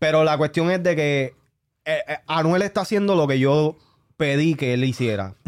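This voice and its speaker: A man with a Puerto Rican accent talks at a moderate pace. His pitch is fairly high and varies in an ordinary way. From Puerto Rico. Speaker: podcast co-host. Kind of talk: casual chat. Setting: studio.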